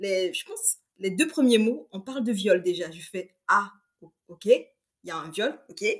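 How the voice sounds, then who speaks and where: With a bright, sharp tone, a woman speaks at a fairly slow pace using very wide pitch swings. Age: 20s. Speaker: book reviewer on social media. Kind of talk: casual book discussion.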